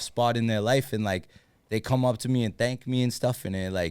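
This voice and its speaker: The recording is very clean, with a silent background. A man with a Boston accent speaks at a fairly quick pace and a medium pitch. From Massachusetts, Lawrence. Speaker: sports superfan and social media personality. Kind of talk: casual podcast chat.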